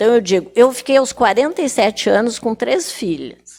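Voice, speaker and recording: A woman with a fairly high voice and vocal fry speaks at a fairly slow pace, her pitch swinging very widely. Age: 80s+. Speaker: retired teacher and writer. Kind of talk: TV talk show interview.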